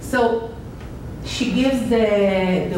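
Pitch variation here is ordinary. Audible room echo sits over light background noise. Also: woman. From Israel. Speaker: art curator and researcher giving a lecture. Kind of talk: lecture. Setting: lecture hall with audience. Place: classroom. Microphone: camera far.

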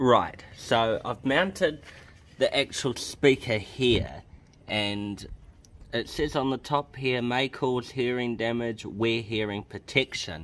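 A man speaks at a very slow pace. His pitch variation is ordinary. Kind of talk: casual DIY tutorial. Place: garage. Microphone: phone near.

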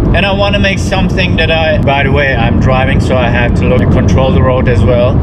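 Loud background noise surrounds a man who talks fairly quickly. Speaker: artist vlogger. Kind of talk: casual vlog chat. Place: car. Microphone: phone near.

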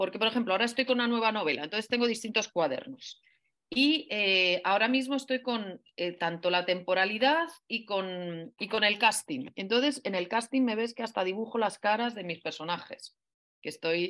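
Lively in intonation and fairly high in pitch, a woman talks at a moderate pace over a quiet background. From Spain. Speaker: writer and professor; professor. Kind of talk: interview. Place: home room. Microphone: video call.

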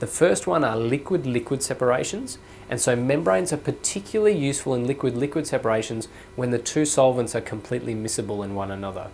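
A man at a very fast pace with ordinary pitch variation and light background noise. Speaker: university lecturer. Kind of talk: lecture. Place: studio. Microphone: lapel.

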